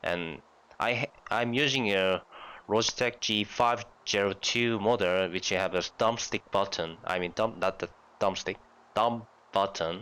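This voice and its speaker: The recording is very clean with a silent background as a man speaks with a Korean accent at a fairly slow pace. His fairly low voice has a bright, sharp tone and ordinary pitch variation. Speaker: gaming youtuber. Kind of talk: tutorial. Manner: halting.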